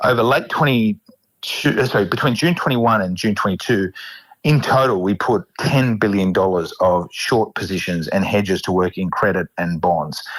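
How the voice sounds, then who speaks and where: A man's fairly low-pitched voice moves with lively intonation. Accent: Australian. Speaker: fund manager. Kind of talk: interview. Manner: fast.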